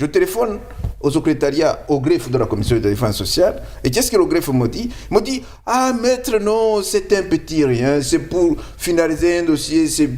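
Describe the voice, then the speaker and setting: Speaking at a moderate pace, a man with a non-native accent uses a high pitch that swings very widely. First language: not French (speaking French). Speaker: lawyer. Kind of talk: interview.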